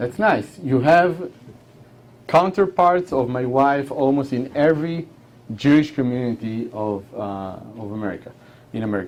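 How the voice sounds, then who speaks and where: A man with an Israeli accent speaks at a moderate pace, with big swings in loudness and long, frequent pauses. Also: medium pitch for a man, lively intonation. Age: 40s. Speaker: war veteran. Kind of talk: talk. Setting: hall with audience.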